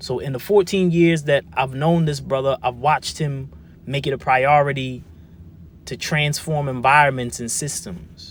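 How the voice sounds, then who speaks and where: A man with an ordinary speaking voice talks at a moderate pace, his pitch fairly high for a man with ordinary variation. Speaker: spoken word artist; formerly incarcerated man. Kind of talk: spoken word testimony.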